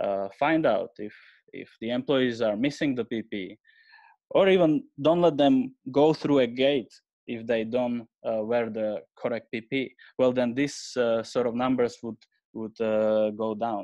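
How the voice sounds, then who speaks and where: Against a quiet background, a man speaks with a Slovak accent at a fairly slow pace. His medium-pitched voice has a dark, mellow tone and ordinary pitch variation. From Slovakia. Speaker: AI researcher, head of innovation. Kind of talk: webinar presentation. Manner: halting, many fillers.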